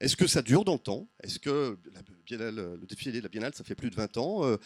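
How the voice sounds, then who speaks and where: On a very clean recording with a silent background and a dry, close sound with no echo, a man speaks fairly quickly with very wide pitch swings. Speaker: sociology professor. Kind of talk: conference talk with slides. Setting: round table before audience. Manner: fast; hesitant, many fillers.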